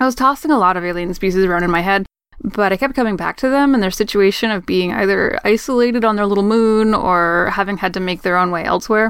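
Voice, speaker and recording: A woman with an American accent talks at a very fast pace, with hardly any pauses. Her pitch is medium, with ordinary variation. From Maine, US. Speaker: tabletop roleplaying game player. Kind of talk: self-introduction Q&A, reading questions.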